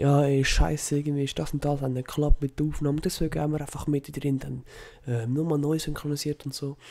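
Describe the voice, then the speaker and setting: The speaker talks at a fairly quick pace with a Swiss accent. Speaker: gamer. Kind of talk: casual intro to video.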